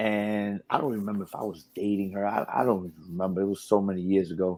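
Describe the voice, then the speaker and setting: A man with a New York accent talks very fast in a fairly low pitch, his tone dark and mellow. His intonation is monotone and flat, and the recording is very clean with a silent background. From New York, Brooklyn. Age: 40s. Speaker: radio DJ and personality. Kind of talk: casual interview chat.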